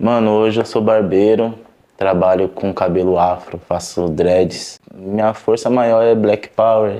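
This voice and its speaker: Dark and mellow in tone, a man speaks at a fairly slow pace with fairly even intonation. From São Paulo south zone, Brazil. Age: 20s. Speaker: barber and rap artist. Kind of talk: casual interview testimony.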